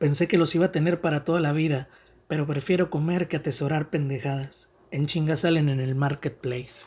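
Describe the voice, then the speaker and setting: Recorded very cleanly against a silent background, a man with a normal speaking voice talks at a fairly quick pace with fairly even intonation. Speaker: writer. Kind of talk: reading aloud.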